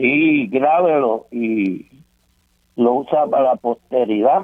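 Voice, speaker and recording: Here a man speaks at a very slow pace in a Puerto Rican accent. His pitch is medium, with ordinary variation. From Puerto Rico, Santurce. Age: 80s+. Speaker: caller. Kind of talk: reading aloud own writing. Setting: phone call.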